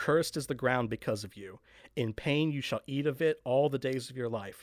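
A man speaks at a medium pitch and a fairly quick pace, in an unremarkable speaking voice. His pitch variation is ordinary, and the recording is very clean with a silent background. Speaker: podcast host. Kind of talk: casual podcast intro and discussion. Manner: friendly, upbeat.

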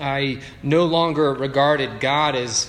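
A man with a Canadian accent speaks at a fairly high pitch in a monotone, flat delivery. Audible room echo and noticeable background noise surround him. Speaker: pastor. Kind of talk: sermon. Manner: conversational, with filler words.

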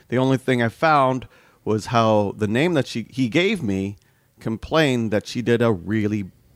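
A man of medium pitch speaks at a moderate pace. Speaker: podcast host. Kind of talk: casual chat, podcast discussion. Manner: animated, teasing, laughs often.

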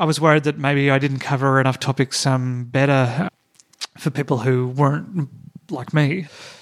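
Fairly high-pitched man with an Australian accent. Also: fairly even intonation, moderate pace. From Tasmania, Australia. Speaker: comedian. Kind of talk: casual chat. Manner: hesitant, many fillers.

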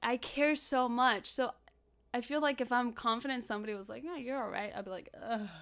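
A woman with a Spanish accent speaks in a bright, sharp tone with ordinary pitch variation. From Los Angeles (South Central), born in Mexico. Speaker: actress. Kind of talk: casual interview chat.

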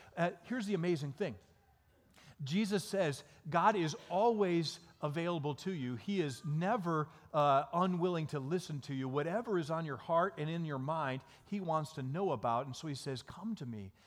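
Lively in intonation, a fairly high-pitched man with an American accent speaks at a moderate pace. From Michigan, small town. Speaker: pastor. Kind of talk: sermon.

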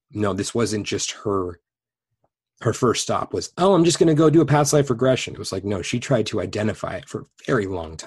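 In an American accent, a man with a medium-pitched, somewhat breathy voice speaks at a fairly quick pace with lively intonation against a quiet background. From Los Angeles, California. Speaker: past life regressionist. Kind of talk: interview conversation.

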